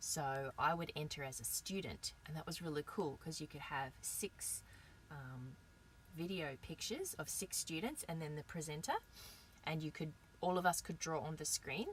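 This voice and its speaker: Somewhat breathy, the voice moves at a moderate pace with ordinary pitch variation. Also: woman, very deep, low pitch for a woman. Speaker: online English teacher. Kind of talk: live stream talk. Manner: animated.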